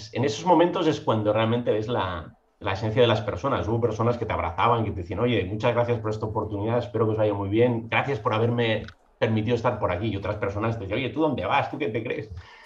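A man talks at a very fast pace with ordinary pitch variation. Audible room echo surrounds the voice. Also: medium pitch for a man. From Catalonia (Mataró, near Barcelona). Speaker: legal tech entrepreneur, licensed lawyer. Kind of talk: podcast interview.

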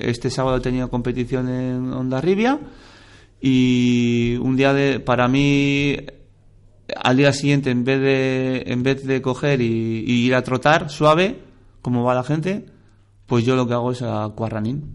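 Moving at a fairly slow pace, a man with an unremarkable speaking voice talks at a medium pitch. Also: fairly even intonation. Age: 40s. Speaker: amateur triathlete, double amputee. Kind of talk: interview.

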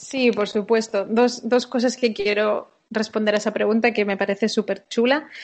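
Her pitch is fairly high, and her intonation is monotone and flat. The woman keeps a moderate pace with hardly any pauses. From Spain. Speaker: sports performance director. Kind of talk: interview.

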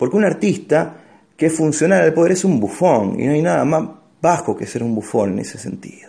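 With an Argentine accent, a man of medium pitch speaks in a dark, mellow tone with very wide pitch swings. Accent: Rioplatense Argentine Spanish. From Argentina, Rosario. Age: 30s. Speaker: stand-up comedian. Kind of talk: casual chat.

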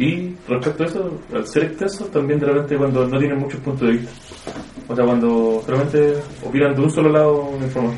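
A man with a Chilean accent speaks at a fairly quick pace in a fairly high pitch with ordinary pitch variation over noticeable background noise. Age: 20s. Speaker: student. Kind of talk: focus group discussion.

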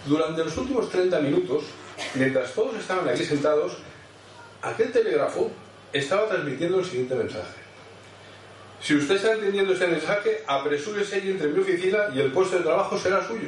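A man with a high pitch and lively intonation speaks at a fairly quick pace, yet with long, frequent pauses. Audible room echo and noticeable background noise fill the recording. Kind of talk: sermon.

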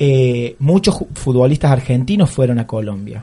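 A somewhat breathy man's voice with a dark, mellow tone, lively intonation and a fairly slow pace. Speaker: teacher and radio columnist. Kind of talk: radio column, casual commentary. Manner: halting, with frequent fillers.

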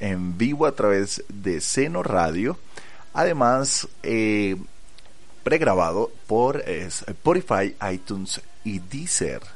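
Speaking at a very slow pace, a man swings very widely in pitch while audible room echo surrounds his voice. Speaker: podcast host. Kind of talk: casual chat. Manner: calmer, lower-key delivery.

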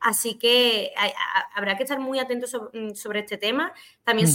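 At a moderate pace, a woman with a fairly high pitch talks in a plain, everyday voice. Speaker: esports podcast co-host. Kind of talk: casual chat.

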